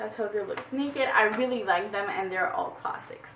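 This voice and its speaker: Noticeable background noise behind a moderately paced woman's voice, medium in pitch, with lively intonation. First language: French. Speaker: book vlogger. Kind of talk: casual book haul vlog. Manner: halting, with fillers.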